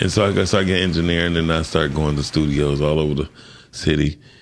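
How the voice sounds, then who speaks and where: The man's pitch is very deep and low, carrying vocal fry. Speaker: sound engineer and music producer. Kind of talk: interview. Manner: animated storytelling.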